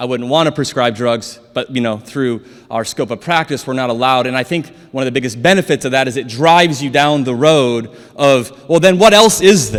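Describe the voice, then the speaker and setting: An animated man with an American accent, medium pitch, ordinary pitch variation and a fairly quick pace. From South Dakota, US. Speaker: chiropractor. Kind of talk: conference lecture. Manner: fast.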